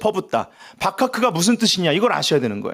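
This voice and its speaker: On a very clean recording with a silent background, a man talks loudly and in an animated tone, his pitch swinging very widely. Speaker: pastor. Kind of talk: sermon. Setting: church prayer meeting with audience.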